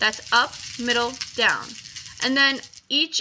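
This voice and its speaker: A woman's high, raised, projected voice at a fairly slow pace. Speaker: video game tutorial maker. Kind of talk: tutorial.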